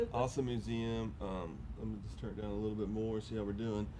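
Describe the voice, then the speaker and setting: A fairly quick pace carries this voice. It belongs to a man. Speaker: motorcycle podcast host. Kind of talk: casual chat. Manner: loud.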